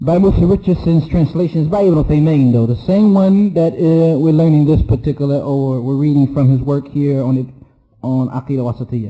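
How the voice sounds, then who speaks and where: A man's dark, mellow tone, somewhat breathy, at a fairly quick pace. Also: ordinary pitch variation. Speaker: Islamic teacher. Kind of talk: lecture.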